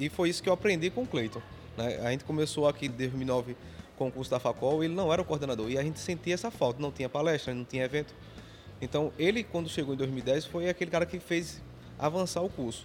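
Music plays in the background as a man talks at a very fast pace. His voice sits fairly high and shows ordinary pitch variation. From Pernambuco interior, Brazil. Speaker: technical school teacher. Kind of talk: interview.

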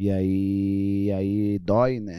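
Very clean recording, silent background. A man speaks in a fairly low voice with a dark, mellow tone. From Angola. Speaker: actor and filmmaker. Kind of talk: casual chat. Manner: halting, many repetitions.

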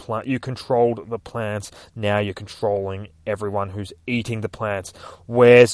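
With fairly even intonation, this clip is plain reading aloud.

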